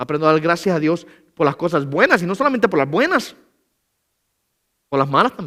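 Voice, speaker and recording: A man with a high pitch and a bright, sharp tone talks at a fairly quick pace with lively intonation. He leaves long, frequent pauses. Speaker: pastor. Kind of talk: sermon. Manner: fast.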